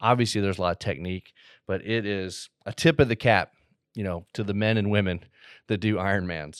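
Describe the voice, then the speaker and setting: At a fairly low pitch and a moderate pace, a man uses an ordinary speaking voice with ordinary pitch variation, captured as a dry, close sound with no echo on a very clean recording with a silent background. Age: 40s. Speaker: podcast host. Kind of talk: casual monologue. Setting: studio.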